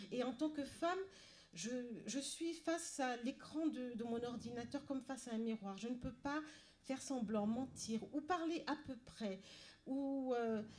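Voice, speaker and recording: A woman with a high voice speaks at a fairly slow pace, with ordinary pitch variation. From Paris suburbs, France. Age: 60s. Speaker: novelist. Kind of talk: panel talk. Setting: library event with audience. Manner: halting, many repetitions and hesitations.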